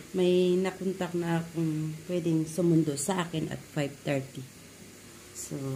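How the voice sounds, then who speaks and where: Speaking at a fairly low pitch, a woman talks at a fairly slow pace in a flat, monotone way, with audible room echo. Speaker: vlogger. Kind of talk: casual vlog.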